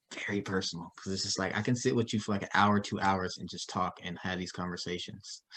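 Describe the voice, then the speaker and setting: A man with a very deep, low pitch speaks at a very fast pace with hardly any pauses. His intonation stays fairly even. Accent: American. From Dallas, Texas. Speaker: interview show host. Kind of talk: casual interview chat.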